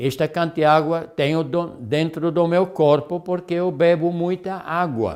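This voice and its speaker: This man's voice is high-pitched with a dark, mellow tone. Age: 70s. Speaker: health lecturer. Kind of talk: lecture. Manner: halting.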